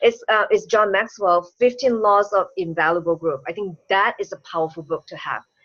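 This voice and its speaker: Lively intonation from a woman at a medium pitch with a non-native accent, moderate pace, hardly any pauses and big swings in loudness. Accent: foreign accent, self-described. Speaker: business coach and speaker. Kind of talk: interview chat. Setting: online call.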